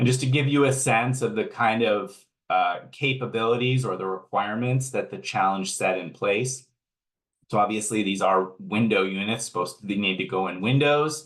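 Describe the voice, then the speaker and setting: Using an ordinary speaking voice, a man talks at a moderate pace, his medium pitch showing ordinary pitch variation. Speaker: energy efficiency program manager. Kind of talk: webinar presentation.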